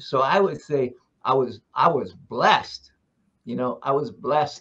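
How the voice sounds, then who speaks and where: A man with an American accent speaks at a fairly slow pace in a fairly high voice, with vocal fry and ordinary pitch variation. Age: 80s+. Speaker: literacy advocate. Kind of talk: interview. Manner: halting, with many repetitions.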